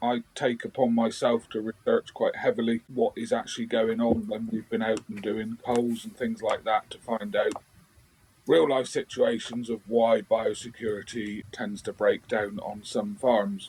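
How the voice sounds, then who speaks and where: A man with a Cornish accent speaks at a fairly slow pace. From England, Cornwall. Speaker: biosecurity advisor. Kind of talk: podcast interview.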